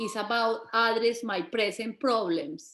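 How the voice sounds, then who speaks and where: Speaking at a fairly slow pace, a woman with a strong Colombian accent has a fairly high pitch. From Colombia, Bogota. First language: Spanish. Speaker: migrant women's community organizer and businesswoman. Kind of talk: panel talk. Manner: halting, with restarts.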